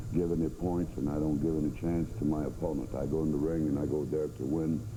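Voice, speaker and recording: This man speaks very fast with a French Canadian accent, his pitch very deep and low. Intonation stays fairly even, loudness is very even, and room echo is audible. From Canada. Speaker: professional wrestler. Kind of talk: promo interview. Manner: halting.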